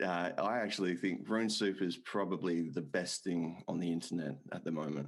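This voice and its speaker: An Australian accent marks this man's speech. He talks in a very deep, low register. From Australia, Perth. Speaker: podcast host. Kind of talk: casual chat.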